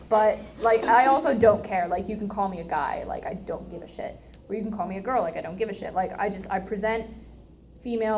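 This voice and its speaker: A woman's fairly high voice at a fairly quick pace, with audible room echo. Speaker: student club officer giving educational talk. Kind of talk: informal educational talk. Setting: room with live audience. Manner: casual, filler-heavy.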